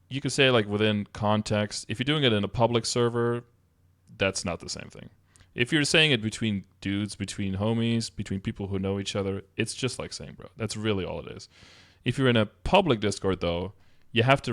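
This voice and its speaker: Here a man with a Dutch accent speaks at a fairly quick pace with a fairly low pitch and ordinary pitch variation. His loudness swings widely, in a very clean recording with a silent background. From Netherlands or Flanders (Dutch-speaking). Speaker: streamer. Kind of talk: casual commentary reacting to a document. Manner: casual, conversational.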